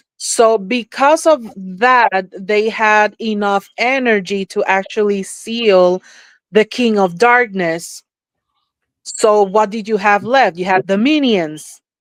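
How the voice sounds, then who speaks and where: Speaking at a very slow pace in a Spanish accent, a woman with a fairly high pitch and ordinary pitch variation is heard on a very clean recording with a silent background and a dry, close sound with no echo. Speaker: psychic / spiritual experiencer. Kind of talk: podcast interview. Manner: halting, with fillers.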